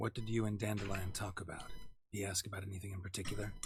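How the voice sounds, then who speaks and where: A man speaks very fast in a put-on character voice. His pitch sits fairly low, and his intonation is flat and monotone. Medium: video game. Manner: terse, dry.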